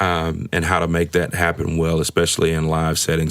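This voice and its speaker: Against noticeable background noise, a man with an American accent talks at a fairly quick pace in a very deep, low, monotone and flat voice. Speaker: public address announcer, radio personality, pastor. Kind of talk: casual interview answer, conversational. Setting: studio.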